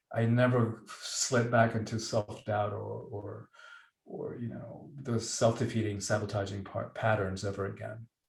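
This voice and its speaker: Using vocal fry, a man speaks in a flat monotone at a medium pitch and a fairly slow pace. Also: big swings in loudness. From Cuba. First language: Spanish. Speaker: author and professional speaker. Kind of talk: podcast interview.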